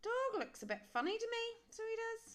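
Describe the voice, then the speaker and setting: Using a put-on character voice, a woman talks at a moderate pace in a squeaky, extremely high pitch. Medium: read story.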